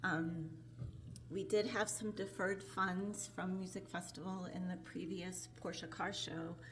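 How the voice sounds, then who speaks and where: With audible room echo around her, a woman with a fairly low pitch and vocal fry speaks at a fairly slow pace with ordinary pitch variation. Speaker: tourism bureau director. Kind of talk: presentation to city council. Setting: city council meeting, microphone. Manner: soft-spoken.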